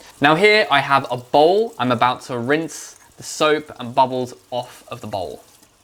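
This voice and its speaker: A man with a British accent talks at a fairly high pitch, with lively intonation and hardly any pauses. His loudness swings a lot, and there is noticeable background noise. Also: fairly slow pace. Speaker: English teacher. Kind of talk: educational vlog narration to camera. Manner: slow, clear.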